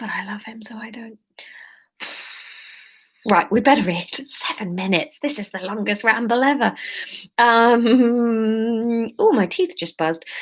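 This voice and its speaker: A woman with an English accent speaks at a fairly high pitch. She goes at a fairly slow pace, with long, frequent pauses. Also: ordinary pitch variation, big swings in loudness. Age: 30s. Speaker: comedian. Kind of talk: casual live-stream chat.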